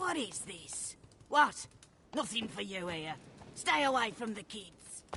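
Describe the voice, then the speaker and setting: Putting on a character voice, a woman speaks fairly slowly with very wide pitch swings. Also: medium pitch for a woman. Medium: video game. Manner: rambling, scatterbrained.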